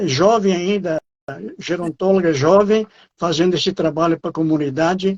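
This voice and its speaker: High-pitched for a man, this voice keeps a moderate pace. His intonation is fairly even. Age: 80s+. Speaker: exercise association director. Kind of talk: interview. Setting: online live stream. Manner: halting, many fillers.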